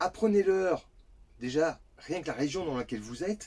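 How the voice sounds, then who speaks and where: A man's voice with very wide pitch swings at a moderate pace. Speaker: parenting vlogger. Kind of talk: casual vlog advice. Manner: stumbling.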